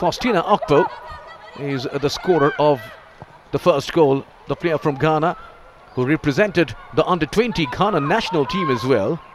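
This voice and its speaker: Over noticeable background noise, a man talks at a moderate pace with lively intonation. He takes long, frequent pauses. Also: fairly high pitch for a man. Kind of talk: live sports commentary.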